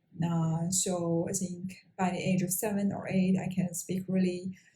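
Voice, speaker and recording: A somewhat breathy voice with a dark, mellow tone. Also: woman. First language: Mongolian. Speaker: engineer and language-learning vlogger. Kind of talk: personal talk to camera. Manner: halting, many fillers.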